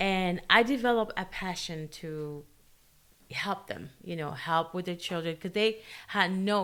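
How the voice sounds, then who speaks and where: A woman at a fairly slow pace with a Spanish accent and ordinary pitch variation, on a very clean recording with a silent background. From Guatemala. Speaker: special education teacher. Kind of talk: casual interview chat. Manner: halting, many fillers.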